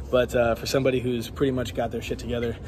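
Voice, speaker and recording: Noticeable background noise fills the recording. A man speaks over it at a fairly quick pace. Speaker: fitness vlogger. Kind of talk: casual vlog chat. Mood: relaxed, reflective, a bit dreamy. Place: gym. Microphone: phone near.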